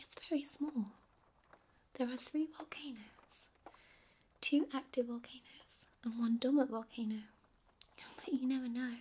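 The speaker is soft-spoken. Long pauses come often. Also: moderate pace. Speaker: audiobook narrator. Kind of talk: sleep story. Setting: rain sounds in background.

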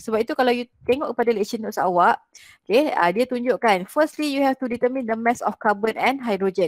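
A woman's fairly high voice at a very fast pace, lively intonation, a dry sound with no echo and a quiet background. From Malaysia. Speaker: chemistry lecturer. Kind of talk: online lecture / tutorial. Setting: video call with screen share. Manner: explanatory, code-switching between Malay and English. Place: home room. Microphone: headset.

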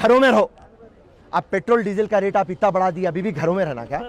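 The sound is dry with no echo. Pitch varies in an ordinary way. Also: man. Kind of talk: interview answer, political speech. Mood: angry protest. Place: street. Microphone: handheld.

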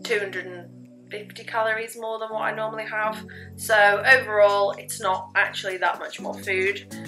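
Clear music in the background at a moderate pace. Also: woman. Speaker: fitness vlogger. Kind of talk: casual vlog chat. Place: kitchen. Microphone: phone near.

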